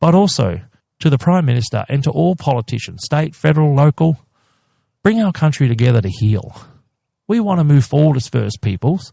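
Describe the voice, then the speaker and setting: A man talks at a fairly quick pace and fairly high pitch, with a dark, mellow, somewhat breathy tone and a passionate edge. His intonation is lively and the sound is dry and close with no echo. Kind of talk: interview, advocacy. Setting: podcast interview. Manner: passionate, emphatic.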